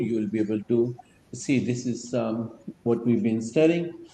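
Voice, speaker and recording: A man's medium pitch with ordinary pitch variation and a dark, mellow tone, amid audible room echo. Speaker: religious study circle teacher. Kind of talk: lecture. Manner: slow, halting with fillers.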